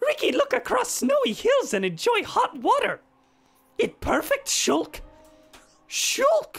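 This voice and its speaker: A put-on character voice at a fairly slow pace, with long, frequent pauses and faint music in the background. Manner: cartoonish.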